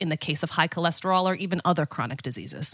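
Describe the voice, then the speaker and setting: A woman with a plain, everyday voice at a fairly quick pace, on a very clean recording with a silent background. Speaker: podcast co-host, dietitian. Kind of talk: casual podcast chat.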